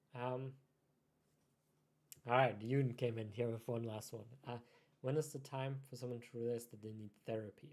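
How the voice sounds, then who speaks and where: A man at medium pitch and a moderate pace, with long, frequent pauses. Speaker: life coach answering viewer questions. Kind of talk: live stream Q&A. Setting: live stream, talking to camera alone.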